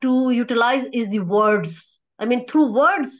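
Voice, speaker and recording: A woman's fairly slow, high-pitched speech with a Pakistani accent and lively intonation, over a quiet background. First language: Urdu. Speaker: academic researcher; conference presenter. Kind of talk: conference presentation; academic presentation. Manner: halting, many fillers. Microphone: video call.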